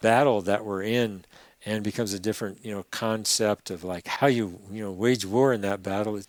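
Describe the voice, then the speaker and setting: A plain, everyday voice in a very clean recording with a silent background. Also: man. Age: 60s. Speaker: environmental activist. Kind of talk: podcast interview.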